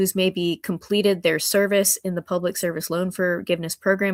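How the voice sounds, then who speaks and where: An ordinary speaking voice from a woman with an American accent, medium in pitch and at a fairly quick pace, with a dry, close sound with no echo on a very clean recording with a silent background. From Hampton Roads, Virginia. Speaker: congressional candidate, doctor and lawyer. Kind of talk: interview.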